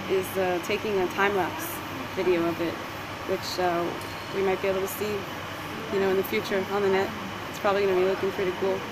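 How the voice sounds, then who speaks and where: A woman talking at a very fast pace over loud background noise. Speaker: vlogger. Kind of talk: casual vlog chat. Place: station. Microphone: earbuds.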